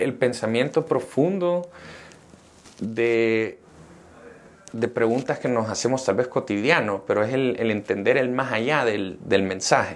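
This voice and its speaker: Long, frequent pauses break up the fairly slow delivery, which has ordinary pitch variation. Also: man, medium pitch for a man. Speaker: entrepreneur. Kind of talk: interview. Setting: coworking space studio.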